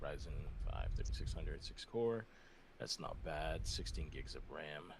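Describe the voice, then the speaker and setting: A quiet male voice at a moderate pace, with audible room echo. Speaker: caller. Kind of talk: casual chat. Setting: voice call. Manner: quiet, kept down.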